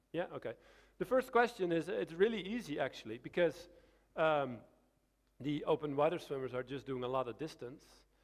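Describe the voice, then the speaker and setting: A man with a Dutch accent speaks at a fairly quick pace in a fairly high pitch, his voice swinging very widely in pitch and broken by long, frequent pauses. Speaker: swimming coach. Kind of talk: Q&A after a lecture. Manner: halting.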